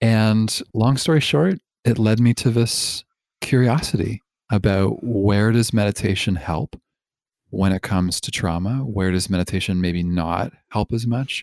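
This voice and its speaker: Someone with a Canadian accent speaks fairly slowly in a plain, everyday voice with ordinary pitch variation. The sound is dry and close, with no echo. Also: man, fairly low pitch for a man. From Canada, Toronto. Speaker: therapist and meditation teacher. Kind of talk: casual interview. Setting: remote call.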